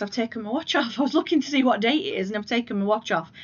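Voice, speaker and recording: A woman's fairly high, somewhat breathy voice moves with lively intonation. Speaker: crafting vlogger. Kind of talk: casual chat.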